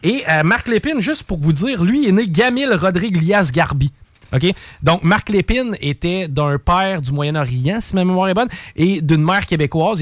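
Lively intonation from a man with an ordinary speaking voice, at a moderate pace. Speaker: radio columnist. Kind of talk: true crime storytelling; casual radio chat.

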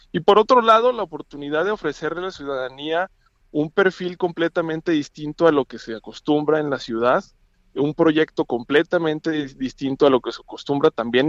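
A man speaks at a moderate pace with a fairly high pitch and ordinary pitch variation in an unremarkable speaking voice. The sound is dry and close with no echo, and the background is quiet. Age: 30s. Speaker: political candidate. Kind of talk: phone interview. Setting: phone call.

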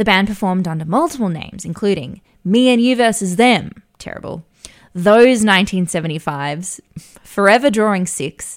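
A woman with a plain, everyday voice, lively intonation and a fairly slow pace. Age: 40s. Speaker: podcast co-host, media advertising worker. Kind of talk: casual chat.

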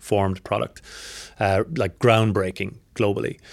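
A man with an Irish accent is heard in a very clean recording with a silent background. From Ireland. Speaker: ad tech executive. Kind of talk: interview. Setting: conference venue.

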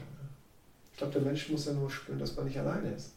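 A man's voice with audible room echo. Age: 40s. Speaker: sales and life coach. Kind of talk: interview.

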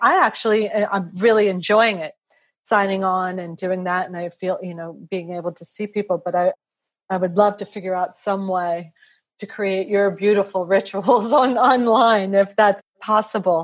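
Pitched at medium for a woman, this is an unremarkable speaking voice. She keeps a moderate pace and fairly even intonation against a quiet background. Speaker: podcast host. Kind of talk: interview conversation.

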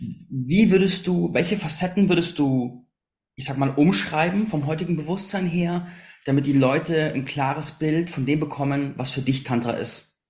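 Audible room echo surrounds a man speaking at a fairly high pitch. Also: ordinary pitch variation, moderate pace. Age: 30s. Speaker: podcast host. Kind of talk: interview.

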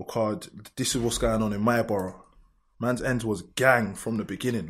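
Talking at a fairly quick pace, a man with a London accent keeps a medium pitch and fairly even intonation. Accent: London multicultural English. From south London, Lewisham. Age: 20s. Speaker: grime MC and producer. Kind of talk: casual chat.

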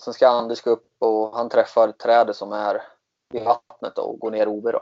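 A man with an ordinary speaking voice talks at a moderate pace. His pitch sits at a medium level. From Sweden, Katrineholm. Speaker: disc golf player. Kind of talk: interview.

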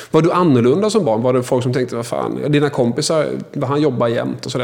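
Amid noticeable background noise, a man at medium pitch talks at a very fast pace. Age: 40s. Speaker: podcast host. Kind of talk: interview.

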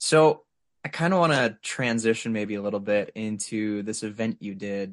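At a moderate pace, a man with a fairly low pitch has a plain, everyday voice and ordinary pitch variation. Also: quiet background. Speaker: interviewer. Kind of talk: casual chat.

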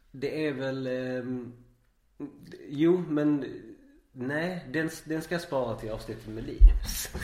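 Amid audible room echo, a man with a fairly high pitch and a dark, mellow tone speaks at a very slow pace with long, frequent pauses, ordinary pitch variation and big swings in loudness. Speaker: podcast host. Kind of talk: casual interview.

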